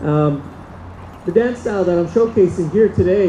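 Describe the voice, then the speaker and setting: Over noticeable background noise, a high-pitched man speaks at a moderate pace with ordinary pitch variation. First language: Diné (Navajo). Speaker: powwow dancer. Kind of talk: cultural presentation to audience. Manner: halting, many fillers.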